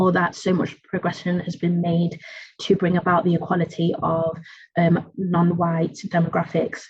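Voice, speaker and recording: A woman's somewhat breathy voice with an East Midlands accent, flat and monotone in intonation. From England, East Midlands (Nottingham). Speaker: academic researcher. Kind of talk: academic lecture. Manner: halting.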